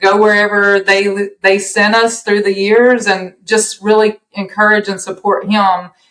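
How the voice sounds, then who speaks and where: Speaking at a fairly slow pace, a woman uses a medium-pitched voice with a Southern US accent. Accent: Southern US accent, noticeable. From US South. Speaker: podcast guest, empty-nester mom. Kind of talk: casual chat.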